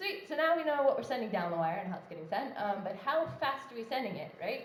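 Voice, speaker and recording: Amid audible room echo and noticeable background noise, a woman talks at a fairly quick pace with very wide pitch swings. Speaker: conference speaker. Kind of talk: tech talk. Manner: fast; casual, many fillers.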